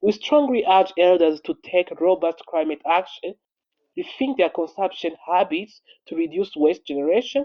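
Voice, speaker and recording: Moderate speed and typical pitch movement from a male speaker with a high voice. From Rwanda. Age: 20s. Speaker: entrepreneur and climate activist. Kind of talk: prepared statement.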